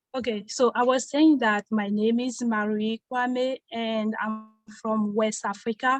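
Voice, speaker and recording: The speaker has a French accent and a monotone, flat intonation, moving at a fairly slow pace. The sound is dry and close, with no echo. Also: woman, fairly high pitch for a woman. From Ivory Coast. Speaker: immigrant panelist. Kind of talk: self-introduction in forum.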